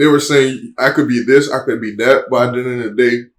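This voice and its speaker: Medium pitch and moderate pace from a man with an unremarkable speaking voice. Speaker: reaction show co-host. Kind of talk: casual chat.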